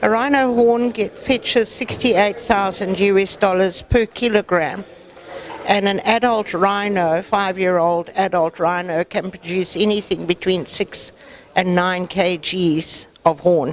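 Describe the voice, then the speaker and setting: With noticeable background noise behind her, a woman of medium pitch speaks at a fairly slow pace, with ordinary pitch variation and very even loudness. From South Africa. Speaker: wildlife conservation activist. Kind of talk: interview.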